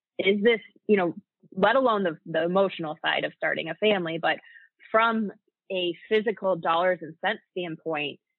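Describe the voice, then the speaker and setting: A woman speaks at a moderate pace in a plain, everyday voice, her medium pitch showing ordinary pitch variation. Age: 30s. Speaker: podcast co-host. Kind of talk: podcast interview.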